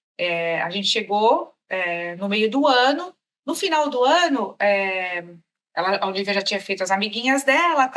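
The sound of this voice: A woman with a Brazilian accent speaks at a fairly slow pace. Her fairly high voice moves through very wide pitch swings.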